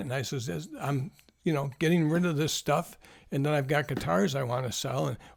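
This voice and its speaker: On a very clean recording with a silent background, a man speaks at a fairly quick pace with a fairly high pitch and vocal fry. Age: 70s. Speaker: YouTuber, guitar collector. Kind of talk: casual vlog monologue. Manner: halting, with repetitions.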